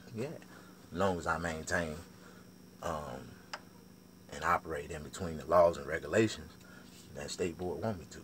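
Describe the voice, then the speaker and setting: A man speaks with vocal fry in a very deep, low pitch and ordinary pitch variation. He takes long, frequent pauses, and his loudness swings widely. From US South. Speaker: barber and vlogger. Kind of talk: casual monologue vlog. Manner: fast; animated.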